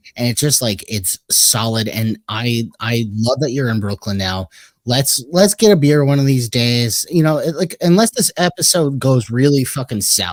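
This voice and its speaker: A man speaks at a moderate pace with hardly any pauses and lively intonation. The sound is dry and close, with no echo. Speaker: podcast host. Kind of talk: casual chat. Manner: animated.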